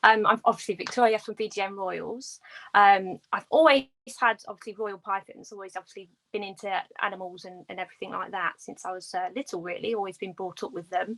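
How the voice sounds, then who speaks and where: Big swings in loudness mark this woman's voice, heard with a British accent. The sound is dry and close, with no echo. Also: medium pitch for a woman, ordinary pitch variation, fairly quick pace. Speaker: reptile breeder. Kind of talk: casual chat.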